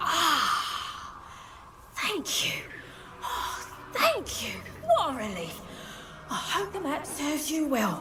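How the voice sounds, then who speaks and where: Someone does a put-on character voice at a very slow pace. Loud background noise runs underneath. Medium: short film. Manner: polite, fussy, coughing.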